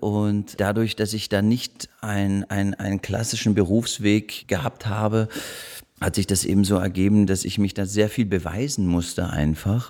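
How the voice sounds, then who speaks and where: His voice carries a French accent. The man's pitch sits fairly low. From Munich, Germany. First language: French (speaking German). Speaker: actor. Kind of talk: casual chat. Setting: living room. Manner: halting.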